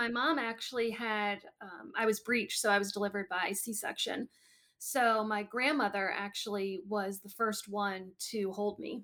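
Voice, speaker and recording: A woman with an American accent speaks at a moderate pace in a medium pitch, her intonation fairly even but her loudness swinging widely. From US, Wisconsin, Illinois and Maryland. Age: 30s. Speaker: heart disease patient. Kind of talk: interview.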